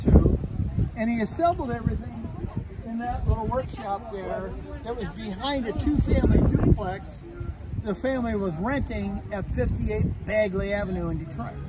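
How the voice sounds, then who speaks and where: Speech comes at a fairly slow pace over loud background noise. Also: man. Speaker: museum demonstrator. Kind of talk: guided tour storytelling. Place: street. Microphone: phone near.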